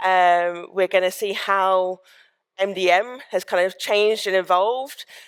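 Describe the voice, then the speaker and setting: A woman talks at a fairly slow pace in an ordinary speaking voice, medium in pitch and with fairly even intonation. The recording is very clean and the background silent. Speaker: sales engineer, conference speaker. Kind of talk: conference talk. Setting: stage with audience.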